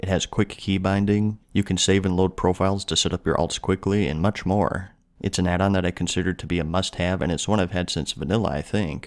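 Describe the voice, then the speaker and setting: In a very clean recording with a silent background, a man speaks in a very deep, low pitch with fairly even intonation. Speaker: gaming YouTuber. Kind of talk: casual talk to camera. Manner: monotone.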